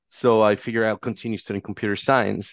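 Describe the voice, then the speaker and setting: Against a quiet background, a man with a fairly low pitch comes through in a dry, close sound with no echo. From Mexico. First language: Spanish. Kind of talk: interview. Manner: halting.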